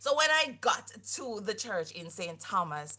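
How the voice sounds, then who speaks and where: With lively intonation, a woman talks in a medium pitch. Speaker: faith podcast co-host. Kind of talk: casual chat. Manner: loud.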